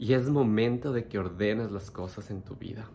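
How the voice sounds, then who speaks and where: A man with a dark, mellow tone speaks at a moderate pace. His intonation is fairly even. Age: 30s. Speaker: meditation teacher and life coach. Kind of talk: personal storytelling monologue. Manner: unscripted, with hesitations.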